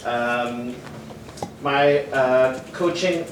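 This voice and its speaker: A man talks in a French accent. Room echo is audible, along with noticeable background noise. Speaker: athletics coach. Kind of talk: conference presentation. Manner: halting.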